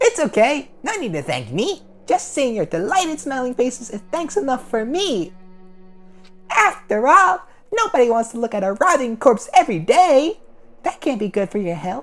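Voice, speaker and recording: Put-on character voice, fairly high in pitch with very wide pitch swings, at a moderate pace over music in the background. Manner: gleeful, mocking.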